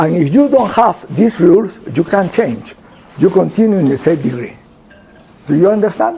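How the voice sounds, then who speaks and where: There is noticeable background noise as a man talks in a Spanish accent. His pitch swings very widely. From Peru. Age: 70s. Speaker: pulmonologist. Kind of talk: lecture. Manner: halting.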